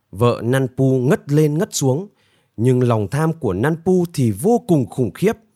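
Against a quiet background, the text is given as plain reading aloud.

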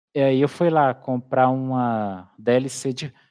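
A man speaks at medium pitch with a dark, mellow tone and fairly even intonation. The sound is dry and close with no echo, over a quiet background. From Brazil, interior of Minas Gerais. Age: 30s. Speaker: YouTuber, city-builder gamer. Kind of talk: casual interview.

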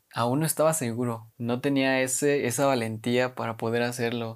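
In a very clean recording with a silent background, a man with a Mexican accent talks at medium pitch and a moderate pace, his intonation fairly even. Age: 20s. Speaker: podcast host and university student. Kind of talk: casual monologue.

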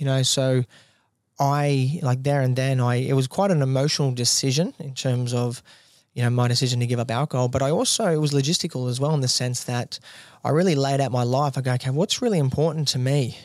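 Speaking fairly quickly with an Australian accent, a man at medium pitch keeps fairly even intonation on a very clean recording with a silent background. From rural New South Wales, Australia. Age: 20s. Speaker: gym owner. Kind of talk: casual interview. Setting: studio.

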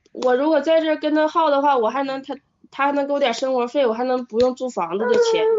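Speaking very fast, a woman uses lively intonation in a high pitch. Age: 20s. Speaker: caller seeking relationship advice. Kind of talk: phone-in advice call. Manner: halting.

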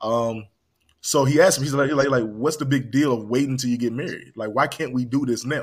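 A man with an ordinary speaking voice speaks at a fairly quick pace and a medium pitch, keeping his intonation fairly even. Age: 30s. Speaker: podcast host. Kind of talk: casual chat.

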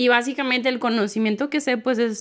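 A woman speaks very fast, captured in a very clean recording with a silent background. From Mexico, Tehuacán, Puebla. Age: 30s. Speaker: digital marketing entrepreneur. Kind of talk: casual interview chat. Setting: church building.

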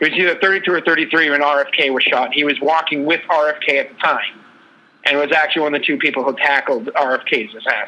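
At a moderate pace, a man talks in a plain, everyday voice with a fairly high pitch. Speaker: co-host. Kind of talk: casual sports talk podcast.

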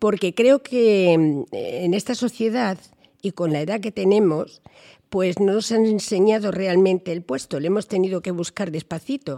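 A woman speaks at a fairly slow pace in a medium pitch with a dark, mellow tone and ordinary pitch variation, the sound dry and close with no echo. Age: 70s. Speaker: senior women's group leader. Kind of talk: group discussion. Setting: senior center.

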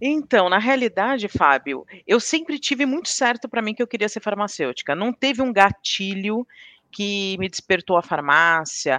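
Against a quiet background, the voice has a bright, sharp tone and very wide pitch swings. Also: woman, medium pitch for a woman, moderate pace. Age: 40s. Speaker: pharmaceutical quality manager. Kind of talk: interview.

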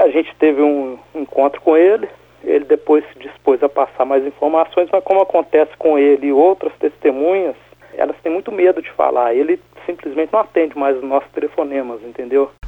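A man talks at a fairly quick pace, his fairly high voice showing ordinary pitch variation. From Minas Gerais, Brazil. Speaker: ufologist, researcher. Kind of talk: interview. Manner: halting.

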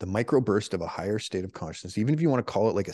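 A man with a Canadian accent and lively intonation, recorded dry and close with no echo against a quiet background. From Canada. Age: 40s. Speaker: former special forces soldier. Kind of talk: casual interview.

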